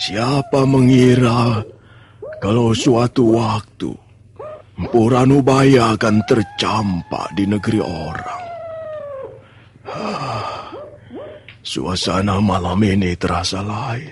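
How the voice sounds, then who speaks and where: A man puts on a character voice at a medium pitch. He goes very slowly, leaving long, frequent pauses. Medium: audio drama. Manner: slow, contemplative sighs.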